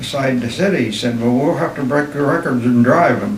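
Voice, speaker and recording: Speaking in a western Pennsylvania accent, a man is heard over noticeable background noise and audible room echo. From western Pennsylvania, Armstrong County. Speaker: war veteran. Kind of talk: oral history interview.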